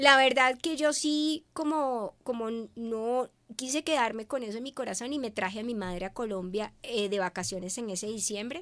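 Speaking at a moderate pace, a woman uses a fairly high pitch and lively intonation. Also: quiet background. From Venezuela. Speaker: media communicator; guest. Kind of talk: interview. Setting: live stream. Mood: warm, emotional storytelling. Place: studio. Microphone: studio mic.

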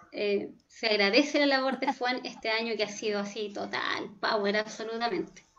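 Noticeable background noise sits under moderately paced speech with ordinary pitch variation. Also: woman, fairly high pitch for a woman. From Chile, Concepción. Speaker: pedagogical coordinator moderating questions. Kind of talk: Q&A moderation. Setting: video call.

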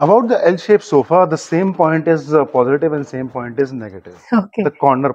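The delivery runs at a fairly quick pace with lively intonation. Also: man. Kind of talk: interview answer, product explanation.

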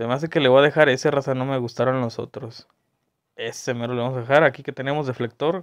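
Very fast speech from a man at a medium pitch. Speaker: gaming video creator. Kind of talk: casual gameplay commentary. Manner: animated.

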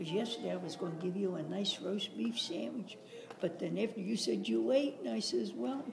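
At a fairly quick pace, a woman with fairly low pitch speaks with very wide pitch swings over noticeable background noise. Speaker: great grandmother. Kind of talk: casual family conversation. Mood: chatty, mildly flustered. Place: hall. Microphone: phone near.

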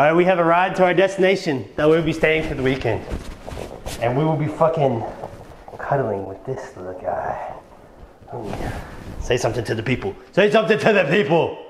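A man with a fairly high pitch speaks at a fairly quick pace, his pitch swinging very widely, with long, frequent pauses and noticeable background noise. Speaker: vlogger. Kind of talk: casual vlog with strangers. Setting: outdoors on location. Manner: fast talker; playful.

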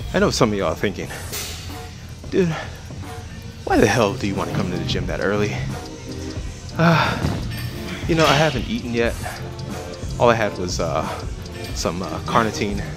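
Clear music plays behind a man who speaks at a moderate pace with long, frequent pauses, the sound dry with no echo. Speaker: fitness vlogger. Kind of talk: casual vlog chat. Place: gym. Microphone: earbuds.

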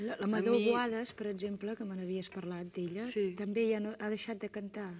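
A woman talks at a moderate pace. Her delivery is monotone, with flat intonation. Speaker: writer and TV interviewer. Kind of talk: TV interview questions. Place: studio.

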